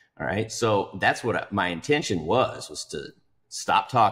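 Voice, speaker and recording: A man at a fairly slow pace, against a quiet background. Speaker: podcast guest. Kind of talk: podcast discussion. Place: home room. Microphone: video call.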